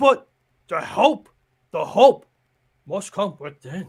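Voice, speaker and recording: Using a put-on character voice, a man speaks at a very slow pace with a high pitch and very wide pitch swings. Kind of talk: playful character impression. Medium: game stream. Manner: slow, sage, inverted word order.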